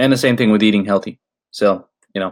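A fairly low-pitched man with an American accent at a fairly quick pace, on a very clean recording with a silent background. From Florida. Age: 20s. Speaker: fitness podcaster, former marine. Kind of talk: casual monologue.

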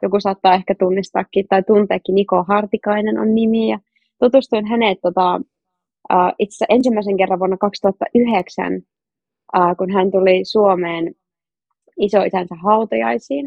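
Speaking at a fairly slow pace, a woman with a medium pitch leaves long, frequent pauses. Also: ordinary pitch variation. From Finland, North Karelia. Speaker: social media influencer. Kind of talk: interview.

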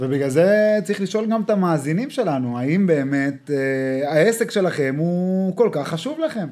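The speech moves at a moderate pace with hardly any pauses, its tone dark and mellow and its intonation lively. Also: man, high pitch for a man. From Israel, Rishon LeZion. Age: 20s. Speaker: business development executive, former counter-terror soldier. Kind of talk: casual interview chat. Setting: studio.

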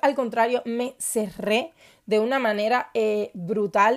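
A woman speaks in a high pitch. The recording is very clean, with a silent background. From Cuba. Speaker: podcast host. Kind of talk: personal monologue. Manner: hesitant with fillers.

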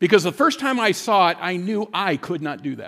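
A man speaks with lively intonation and a high pitch. The recording is very clean, with a silent background. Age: 60s. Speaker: guest pastor. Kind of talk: sermon. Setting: church.

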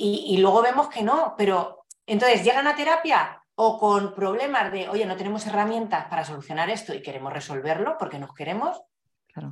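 Very wide pitch swings mark this woman's speech. Her pitch is medium and her pace moderate. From Spain, Madrid. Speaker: couples therapist. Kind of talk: casual interview.

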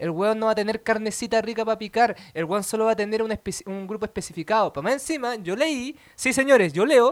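With a Chilean accent and lively intonation, a high-pitched man speaks at a moderate pace in a very clean recording with a silent background. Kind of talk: comedic debate; casual chat.

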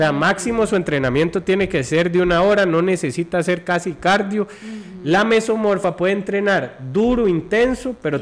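Pitch moves in an ordinary way. The delivery comes at a fairly quick pace. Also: man. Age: 30s. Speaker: doctor and nutritionist. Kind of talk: casual chat.

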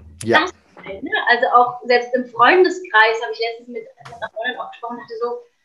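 A woman with a bright, sharp tone uses lively intonation in a raised, projected voice. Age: 30s. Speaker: actress, singer and coach. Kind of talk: casual chat.

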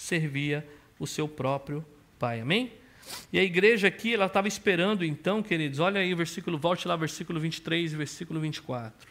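Talking at a moderate pace, a man uses a high pitch with ordinary pitch variation. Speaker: pastor. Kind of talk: sermon.

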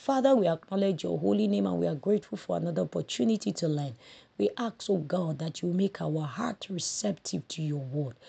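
A woman speaks quite fast with a Nigerian accent, her pitch very deep and low. Her voice is somewhat breathy and dark and mellow in tone, with very wide pitch swings. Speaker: Sunday school lesson presenter. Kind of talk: Bible study lesson summary, devotional teaching with prayer. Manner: earnest, fervent, prayerful, preacher-like; halting, repeats words while speaking.

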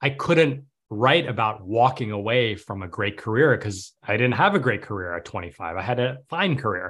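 A man speaks at a moderate pace, his pitch medium. It is a plain, everyday voice. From New York City. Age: 40s. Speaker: entrepreneur and writer, former Wall Street worker. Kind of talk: podcast interview.

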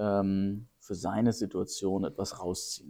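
Speaking fairly slowly, a man has a dark, mellow tone. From Lower Franconia, Germany (Karlstadt near Würzburg). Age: 30s. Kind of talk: casual podcast conversation.

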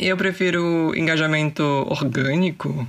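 This woman's pitch is fairly low. Her pitch variation is ordinary. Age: 20s. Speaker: podcaster. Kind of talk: casual solo monologue. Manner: animated.

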